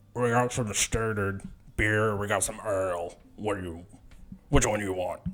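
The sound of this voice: Using a put-on character voice, a man with a fairly low pitch talks at a moderate pace, broken by long, frequent pauses.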